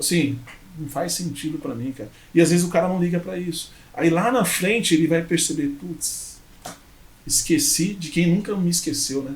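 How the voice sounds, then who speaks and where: In a room with audible echo, a man with a fairly high pitch talks at a moderate pace with ordinary pitch variation. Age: 30s. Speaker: entrepreneur, former motorcycle courier. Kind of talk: podcast interview.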